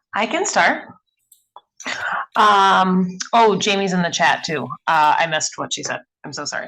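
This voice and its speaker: This speaker, with a Wisconsin accent, has a bright, sharp tone and ordinary pitch variation. The pace is moderate, with long, frequent pauses and big swings in loudness. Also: woman, medium pitch for a woman. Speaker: mentorship program participant. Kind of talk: casual group discussion. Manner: halting, many fillers.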